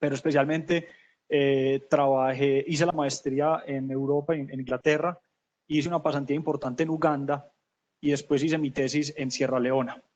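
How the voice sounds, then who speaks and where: A man in a Medellín accent, fairly high-pitched, with monotone, flat intonation at a moderate pace. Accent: Medellín (paisa). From Colombia, Medellín (paisa). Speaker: corporate sustainability manager. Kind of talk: webinar panel talk. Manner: hesitant, many fillers and repetitions.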